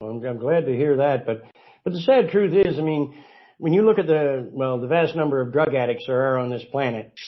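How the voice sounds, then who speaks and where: A man speaks at a fairly high pitch. His pace is fairly quick, with ordinary pitch variation. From Canada, Nova Scotia. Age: 60s. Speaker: cannabis oil advocate and author. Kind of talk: interview.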